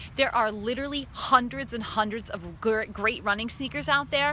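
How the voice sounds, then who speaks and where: Animated in tone, the voice moves at a moderate pace with ordinary pitch variation and noticeable background noise. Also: woman. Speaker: running coach. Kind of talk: casual tutorial. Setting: social media video.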